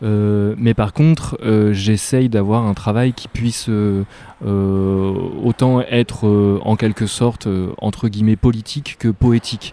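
A man's fairly low voice with a dark, mellow tone, a very slow pace and fairly even intonation. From northern France (near Lille). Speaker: visual artist. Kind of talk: interview. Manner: hesitant, many fillers.

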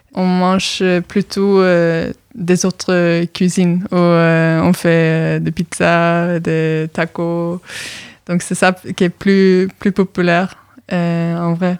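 With a Norwegian accent, a woman speaks at a very slow pace and a fairly low pitch, in a monotone, flat intonation with long, frequent pauses and a dry, close sound with no echo. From Norway. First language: Norwegian (speaking French). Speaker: exchange student. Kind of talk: radio interview. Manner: halting.

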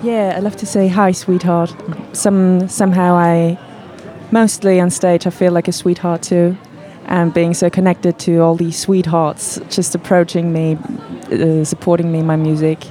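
A woman speaks very slowly in a fairly low pitch, her intonation flat and monotone. Background noise is noticeable. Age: 20s. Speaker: singer-producer. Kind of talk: radio interview. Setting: studio.

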